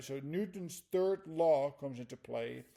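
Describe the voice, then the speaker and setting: With a Dutch accent, a man speaks in a fairly high pitch with a dark, mellow tone and lively intonation. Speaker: flight instructor. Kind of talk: lecture. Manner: halting.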